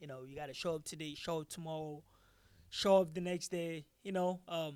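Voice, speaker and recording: A man with a Nigerian accent, fairly high in pitch, at a moderate pace, with fairly even intonation and big swings in loudness. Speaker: MMA fighter and taekwondo instructor. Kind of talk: post-fight interview. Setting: live at fight venue. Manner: halting, many fillers and repetitions.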